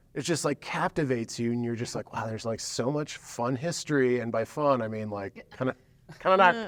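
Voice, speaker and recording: Over noticeable background noise, a man speaks at a fairly quick pace, medium in pitch with ordinary pitch variation. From Washington State. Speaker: podcast host. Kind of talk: casual chat. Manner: animated.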